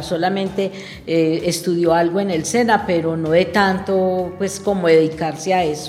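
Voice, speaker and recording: A woman at a fairly slow pace with fairly even intonation, amid noticeable background noise and audible room echo. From Antioquia, Colombia (Heliconia). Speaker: schoolteacher. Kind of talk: radio interview.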